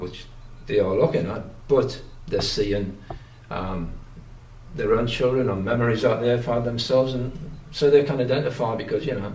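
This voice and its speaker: With a strong Geordie accent, a man of medium pitch talks at a moderate pace with ordinary pitch variation and long, frequent pauses, and audible room echo. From northern England, Newcastle upon Tyne (Geordie). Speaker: painter. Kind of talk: interview. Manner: halting, many fillers and restarts.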